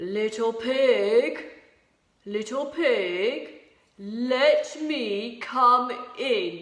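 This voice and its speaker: A woman's cartoonish character voice, high-pitched and very slow, with long, frequent pauses and an audible echo. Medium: puppet.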